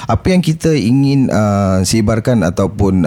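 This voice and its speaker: A man's voice comes through noticeable background noise. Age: 40s. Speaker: former drug addict, support group founder. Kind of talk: interview testimony. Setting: studio. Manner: halting, many fillers.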